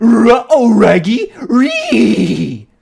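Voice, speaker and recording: His pitch climbs extremely high. A man is doing a put-on character voice. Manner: imitation of a cartoon dog.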